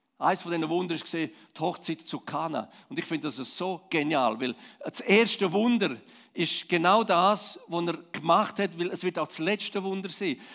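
A man with a Swiss accent, high-pitched, at a moderate pace and with ordinary pitch variation. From Switzerland, Romansh-speaking Graubünden. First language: Romansh (speaking German). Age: 50s. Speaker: pastor. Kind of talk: sermon.

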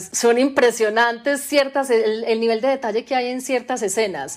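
A woman's unremarkable speaking voice at a moderate pace with ordinary pitch variation. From Colombia, Medellín area. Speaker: novelist. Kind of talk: interview. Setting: remote recording during lockdown.

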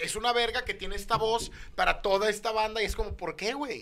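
Raising and projecting his voice, a man speaks at a high pitch and a very fast pace. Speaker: comedian. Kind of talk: casual chat. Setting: studio.

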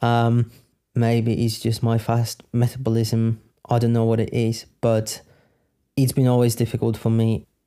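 On a very clean recording with a silent background, a man with a Polish accent speaks at medium pitch and a fairly slow pace in a dark, mellow tone, his loudness very even and his intonation monotone and flat. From Poland. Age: 30s. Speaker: podcaster. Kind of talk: Q&A monologue.

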